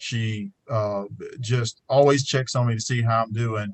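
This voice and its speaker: Somewhat breathy, a man speaks in an Alabama accent at medium pitch with ordinary pitch variation. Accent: Southern US (Alabama). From US South, rural Alabama. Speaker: trial lawyer, panelist. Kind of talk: panel discussion.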